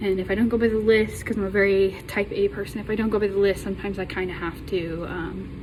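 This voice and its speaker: A woman with an American accent talks at a fairly quick pace amid noticeable background noise and audible room echo. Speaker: college student. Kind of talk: class self-introduction. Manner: halting, many ums.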